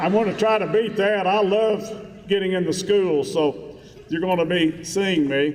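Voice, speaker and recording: A man speaks with a West Virginia accent in a high voice, at a fairly slow pace with ordinary pitch variation. His loudness stays very even, and there is noticeable background noise. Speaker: school superintendent. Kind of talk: speech to staff. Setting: stage with audience.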